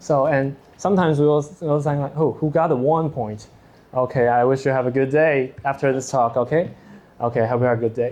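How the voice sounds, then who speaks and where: A man speaks at a fairly quick pace and a medium pitch, in a Taiwanese accent. His intonation is fairly even, and the background is quiet. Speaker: teaching assistant. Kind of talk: lecture. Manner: halting.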